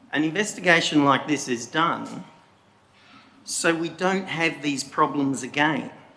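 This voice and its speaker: A man talks at a fairly slow pace, with room echo audible around him. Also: fairly high pitch for a man, ordinary pitch variation. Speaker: member of the public making a statement. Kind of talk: public statement at council meeting. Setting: council chamber meeting. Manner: deliberately slow.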